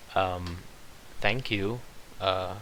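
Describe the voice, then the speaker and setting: With audible room echo around him, a man mumbles at a very deep, low pitch with fairly even intonation. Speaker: vlogger. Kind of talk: casual monologue. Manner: mumbling; halting.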